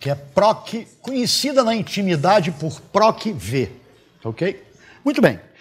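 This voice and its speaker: Very slowly, a man speaks with very wide swings in his pitch. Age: 70s. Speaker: mathematics teacher. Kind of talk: lecture. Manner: conversational. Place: classroom. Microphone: lapel.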